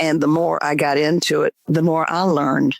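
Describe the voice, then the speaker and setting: A woman with a Southern US accent, the sound dry and close with no echo. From US South, Georgia. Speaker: memoir author. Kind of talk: interview.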